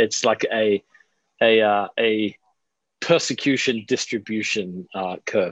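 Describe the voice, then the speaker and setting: With an Australian accent, a man speaks very slowly at a fairly low pitch, with fairly even intonation and long, frequent pauses. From Australia, Adelaide. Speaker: pastor and author. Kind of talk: casual interview.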